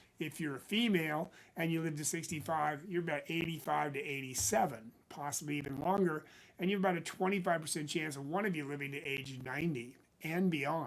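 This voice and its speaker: Fairly quick and fairly high-pitched, a man's a plain, everyday voice with ordinary pitch variation. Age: 60s. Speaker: financial planner. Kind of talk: casual talk to camera.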